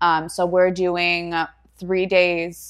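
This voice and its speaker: A woman with an American accent talks at a very slow pace on a very clean recording with a silent background. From US Northeast, Pennsylvania. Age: 20s. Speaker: fitness competitor and personal trainer. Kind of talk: casual interview chat. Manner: laughs often.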